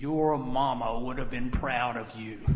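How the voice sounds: Over clear background noise, a man puts on a gruff character voice, speaking fairly slowly in a flat monotone. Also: medium pitch for a man.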